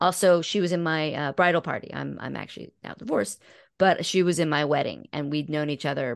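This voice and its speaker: With vocal fry and a very deep, low pitch, a woman speaks at a fairly quick pace, her pitch varying in an ordinary way. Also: quiet background. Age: 50s. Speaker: podcast host and guest. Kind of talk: casual interview conversation.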